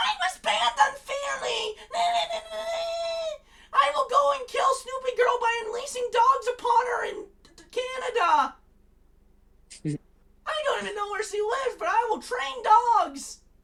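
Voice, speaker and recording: A squeaky, put-on character voice at an extremely high pitch, shouting. It moves at a moderate pace with long, frequent pauses. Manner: angry, ranting, outraged.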